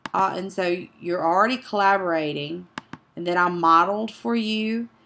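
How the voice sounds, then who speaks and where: Noticeable background noise behind a woman's voice, its pitch varying in an ordinary way. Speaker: teacher. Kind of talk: tutorial.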